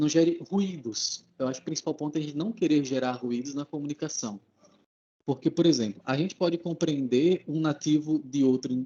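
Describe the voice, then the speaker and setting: A man with a northeastern Brazilian accent speaks at a moderate pace and a fairly high pitch, with a dark, mellow tone and ordinary pitch variation. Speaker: English speaker, language learner. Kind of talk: casual chat.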